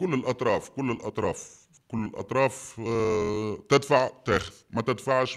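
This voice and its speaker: The speaker has a Tunisian accent and an animated tone. The background is quiet. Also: man. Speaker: quarry business owner. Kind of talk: testimony. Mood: indignant, accusing. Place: home room.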